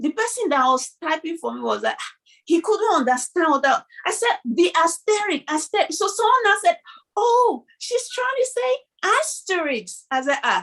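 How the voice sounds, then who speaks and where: Extremely high in pitch, a woman with a Nigerian accent speaks at a moderate pace with very wide pitch swings. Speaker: video podcast co-host. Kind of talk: casual chat.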